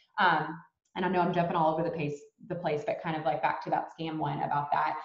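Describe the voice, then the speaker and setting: Audible room echo surrounds a woman speaking at a very fast pace in a fairly low pitch. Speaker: network marketing distributor. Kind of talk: casual talk on a video call training. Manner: animated.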